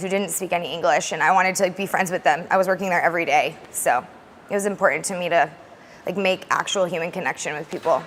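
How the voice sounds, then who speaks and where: A woman with an American accent speaks at a medium pitch with fairly even intonation. Noticeable background noise is present. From US West (Alaska and Arizona). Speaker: language teacher. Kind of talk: interview. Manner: fast; loud.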